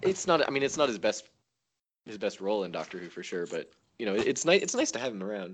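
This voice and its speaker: The speech runs very fast, with big swings in loudness. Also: man. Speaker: podcast guest. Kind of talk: casual chat.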